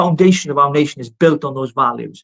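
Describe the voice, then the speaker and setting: This man speaks with a Welsh accent. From Wales. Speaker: political activist. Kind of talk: live political discussion. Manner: animated.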